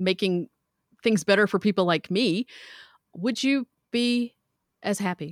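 A woman with a slight Southern US accent talks at a moderate pace, her voice dry and close with no echo on a very clean recording with a silent background. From US South. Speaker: metalsmith and teacher. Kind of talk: casual interview.

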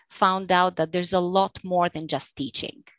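In a Bulgarian accent, a woman speaks with a fairly low pitch and fairly even intonation. The sound is dry and close with no echo, over a quiet background. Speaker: English teacher and freelancer. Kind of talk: casual interview.

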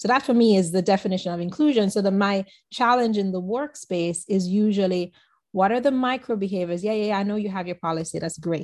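A woman with a Caribbean accent at a very fast pace, medium in pitch with ordinary pitch variation. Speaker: business consultant. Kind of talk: casual interview chat.

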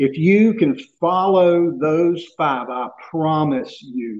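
A man with a coastal North Carolina accent speaks with ordinary pitch variation. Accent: US Southern (coastal North Carolina). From Southeast North Carolina. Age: 50s. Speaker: surf casting expert. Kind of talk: interview.

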